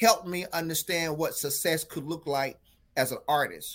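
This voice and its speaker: A man's high-pitched, bright and sharp voice with a North Carolina accent, in a very clean recording with a silent background. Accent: rural North Carolina Southern US. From North Carolina, Franklin County. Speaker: drama teacher. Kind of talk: casual interview.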